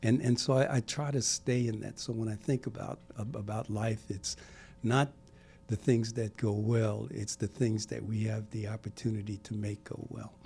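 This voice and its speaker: A man with an American accent speaks in a fairly low, dark, mellow tone. His delivery is somewhat breathy with fairly even intonation. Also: moderate pace. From US Northeast, Brooklyn, New York. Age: 70s. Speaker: civic leader. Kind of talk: podcast interview. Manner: halting, with many repetitions.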